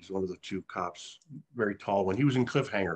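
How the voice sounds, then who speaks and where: With an ordinary speaking voice, a man talks at a fairly quick pace in a fairly low pitch with ordinary pitch variation, the sound dry and close with no echo. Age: 60s. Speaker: actor. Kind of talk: casual chat.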